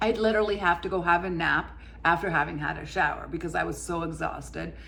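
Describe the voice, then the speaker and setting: A woman talks at a very fast pace, with audible echo from the room. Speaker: lifestyle vlogger, former corporate worker. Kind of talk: personal testimony vlog. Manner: occasional stumbles, tripping over words.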